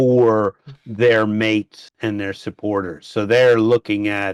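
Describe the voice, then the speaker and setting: A man speaks in an ordinary speaking voice with an American accent, his pitch medium and his intonation fairly even. The background is quiet, and the sound is dry and close with no echo. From United States. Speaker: housing project founder. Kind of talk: casual podcast conversation.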